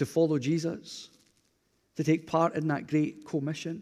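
A man with a Glasgow accent speaks slowly, fairly so, in a fairly high voice with a dark, mellow tone and monotone, flat intonation. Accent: Scottish (Glasgow area). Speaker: pastor. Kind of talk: sermon. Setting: church.

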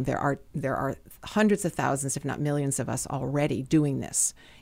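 On a very clean recording with a silent background, a woman speaks at a very deep, low pitch with vocal fry. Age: 60s. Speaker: personal trainer. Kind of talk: interview.

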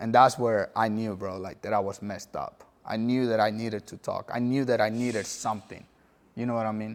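Monotone, flat intonation at a fairly quick pace. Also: man, medium pitch for a man. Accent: Spanish. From El Salvador. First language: Spanish. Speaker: former gang member. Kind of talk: testimony.

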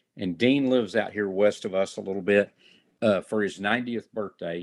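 A man's fairly low voice in a Texan accent, with a dry, close sound and no echo. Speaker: fire chief and chuck wagon cook. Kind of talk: interview.

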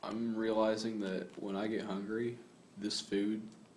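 There is noticeable background noise and audible room echo. A man speaks at a fairly low pitch in a monotone, flat way. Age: 20s. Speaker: podcast host. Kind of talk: casual chat.

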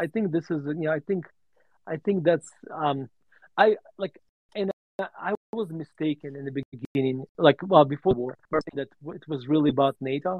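With a Russian accent, a man speaks at a fairly high pitch, leaving long, frequent pauses. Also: ordinary pitch variation, moderate pace. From Russia (USSR). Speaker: value investor and author. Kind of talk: interview on a live audio space. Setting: online audio room.

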